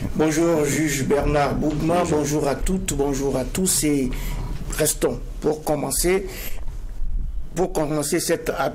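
A man's fairly high-pitched, normal speaking voice with fairly even intonation over light background noise. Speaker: TV show host. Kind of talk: moderated TV debate. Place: studio. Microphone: lapel.

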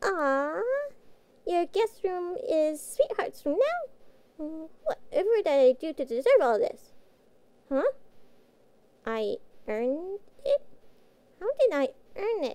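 In a put-on character voice, a woman speaks at an extremely high pitch with very wide pitch swings. She goes at a fairly slow pace, leaving long, frequent pauses. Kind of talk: audio roleplay. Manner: cute, innocent.

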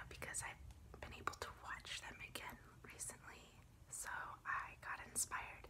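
The pace is fairly slow. Noticeable background noise runs beneath the speech. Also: woman. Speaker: ASMR creator. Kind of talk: ASMR tapping and tracing video, casual talk to camera. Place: home room. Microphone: phone near.

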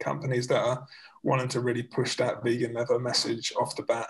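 The man's fairly quick pace comes through over a quiet background. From North London, England; London. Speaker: vegan bag factory founder; guest. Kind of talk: casual interview. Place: home room. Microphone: video call.

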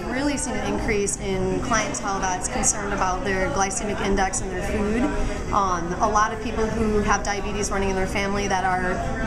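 Loud background noise surrounds a woman talking at a fairly quick pace. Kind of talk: interview answer. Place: cafe.

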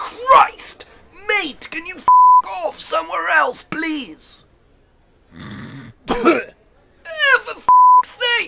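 In a put-on character voice with an extremely high pitch and a whiny tone, the speaker goes very slowly with long, frequent pauses while sound effects play in the background. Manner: whiny, indignant, foul-mouthed.

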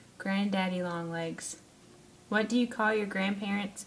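A woman with a Southern US accent speaks at a moderate pace with fairly even intonation. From Alabama. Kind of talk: casual talk to camera, word list reading. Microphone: webcam.

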